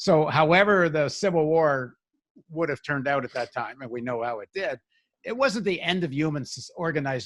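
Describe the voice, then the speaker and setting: On a very clean recording with a silent background, a man with a normal speaking voice talks fairly quickly at a fairly high pitch with lively intonation. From Canada. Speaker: podcast host. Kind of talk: political interview discussion.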